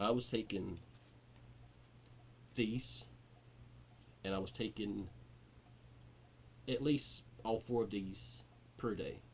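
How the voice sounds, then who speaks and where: A man with vocal fry and a fairly low pitch speaks very slowly, with very wide pitch swings and long, frequent pauses. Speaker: YouTuber sharing recovery from addiction. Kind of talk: personal testimony vlog. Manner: halting, repeating words.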